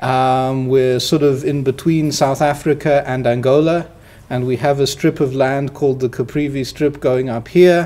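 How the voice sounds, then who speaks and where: At a moderate pace, a man talks in a fairly high pitch with monotone, flat intonation. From Namibia. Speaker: university professor. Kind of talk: interview.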